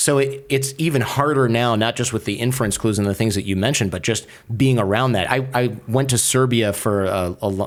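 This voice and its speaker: A man with an American accent talks at a very fast pace with hardly any pauses. His loudness stays very even and his pitch variation is ordinary. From US Midwest, Michigan. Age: 40s. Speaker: podcaster and lawyer. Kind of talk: casual chat. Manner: animated.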